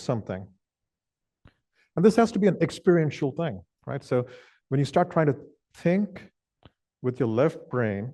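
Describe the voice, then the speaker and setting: A man with a Kannada accent speaks at a moderate pace in a fairly high pitch, his dark, mellow tone swinging very widely in pitch against a quiet background. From southwestern India (Karnataka). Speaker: meditation teacher. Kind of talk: dharma talk. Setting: meditation hall with audience.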